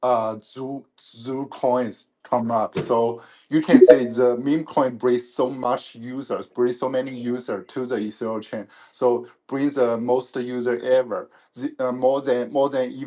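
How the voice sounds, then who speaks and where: Medium-pitched male voice with a dark, mellow tone, fairly even intonation and a fairly slow pace. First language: not English. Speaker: panel speaker. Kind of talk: panel discussion. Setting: online audio room. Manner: halting.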